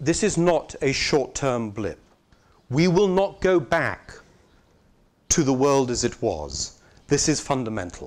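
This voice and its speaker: With a British accent, a man with a fairly high pitch speaks at a fairly slow pace, using very wide pitch swings and long, frequent pauses, in a very clean recording with a silent background. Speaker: arts organization director. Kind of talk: conference talk. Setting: conference with live interpreters.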